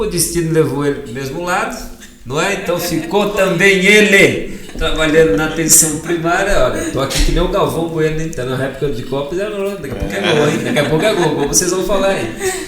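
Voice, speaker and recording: A man talks fairly quickly at a high pitch. Audible room echo and noticeable background noise surround him. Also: ordinary pitch variation. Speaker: podcast host. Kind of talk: casual interview chat.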